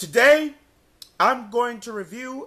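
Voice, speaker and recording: Using a raised, projected voice with a bright, sharp tone, a man speaks at a fairly slow pace. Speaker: DVD reviewer. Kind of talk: casual talk to camera.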